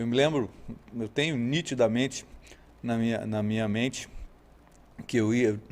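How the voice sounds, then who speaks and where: A man in a Rio de Janeiro accent, medium pitch, moderate pace, fairly even intonation and long, frequent pauses. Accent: carioca. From Rio de Janeiro state, Brazil (Araruama, Lakes Region). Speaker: horse trainer. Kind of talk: podcast interview.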